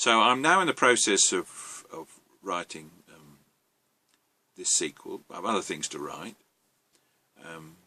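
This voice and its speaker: A man with an English accent at a fairly slow pace, with long, frequent pauses and big swings in loudness. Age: 70s. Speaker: novelist. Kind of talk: monologue. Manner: halting, frequent ums.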